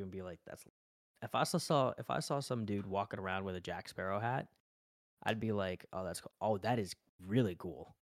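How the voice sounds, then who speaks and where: An ordinary speaking voice comes from a man with an American accent, fairly low in pitch with ordinary pitch variation at a fairly quick pace. The recording is very clean, with a silent background and a dry, close sound with no echo. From Las Vegas, Nevada. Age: 20s. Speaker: streamer and college student. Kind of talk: casual chat.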